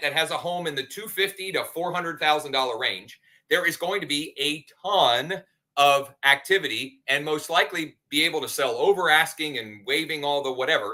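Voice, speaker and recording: Speaking at a fairly quick pace, a man has an ordinary speaking voice, a fairly high pitch and ordinary pitch variation. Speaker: real estate agent and show host. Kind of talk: live show casual talk.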